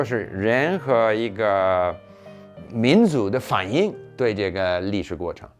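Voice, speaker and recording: Music plays in the background as a man talks at a medium pitch. His pace is very slow, but his intonation is lively. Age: 70s. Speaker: former diplomat, polyglot. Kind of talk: interview answer.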